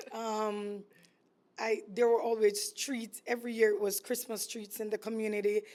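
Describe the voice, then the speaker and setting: The speaker has a Jamaican accent and a moderate pace. The intonation is monotone and flat. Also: woman, fairly high pitch for a woman. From Jamaica, East Kingston. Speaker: entrepreneur, food business owner. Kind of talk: casual interview chat.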